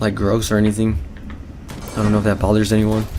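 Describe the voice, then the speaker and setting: With noticeable background noise behind him, a man talks in a fairly low pitch. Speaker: gaming video creator. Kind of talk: let's play commentary. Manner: casual, rambling.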